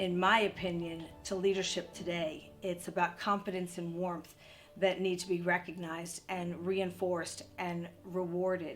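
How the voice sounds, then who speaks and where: With music in the background, a woman speaks in a monotone, flat intonation. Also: fairly low pitch for a woman, moderate pace. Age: 60s. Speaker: entrepreneur and CEO. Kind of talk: interview monologue.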